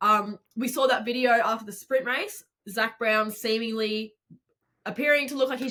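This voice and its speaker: A woman with an Australian accent speaks at a moderate pace in a fairly high voice with a bright, sharp tone. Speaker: podcast co-host. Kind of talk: casual chat.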